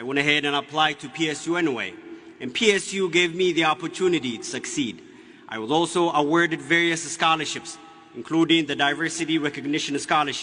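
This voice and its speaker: A man with an Ethiopian accent, fairly high pitch, ordinary pitch variation and a very fast pace, amid noticeable background noise. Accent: Ethiopian (Oromo) English. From Ethiopia (Oromia). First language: Oromo. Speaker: graduating student speaker. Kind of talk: commencement speech. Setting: graduation ceremony with audience. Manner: formal.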